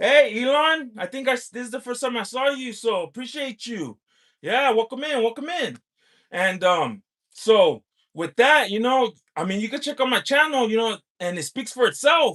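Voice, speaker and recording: Loud and animated, a man with an American accent speaks at a moderate pace in an extremely high pitch with a bright, sharp tone. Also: lively intonation. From US, California. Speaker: lottery scratcher livestreamer. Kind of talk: livestream chat with viewers. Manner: animated, hyped.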